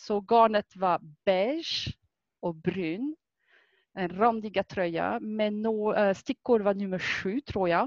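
A woman with a French accent talks at a very slow pace in medium pitch with ordinary pitch variation, in a dry, close sound with no echo and a quiet background. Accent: French accent in Swedish. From France. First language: French (speaking Swedish). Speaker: fitness instructor and knitter. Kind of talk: casual chat.

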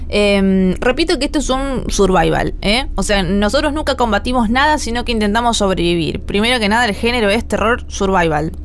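A woman with a Rioplatense accent talks at a fairly high pitch with lively intonation, very even loudness and hardly any pauses. Noticeable background noise and audible room echo fill the recording. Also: moderate pace. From Argentina, La Plata. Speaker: gaming streamer and podcast host. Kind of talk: casual chat.

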